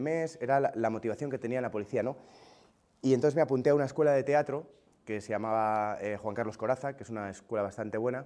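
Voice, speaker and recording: This man talks at a very fast pace in a medium pitch, with a dark, mellow tone and ordinary pitch variation. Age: 30s. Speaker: comedian. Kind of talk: interview testimony. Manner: casual, hesitant.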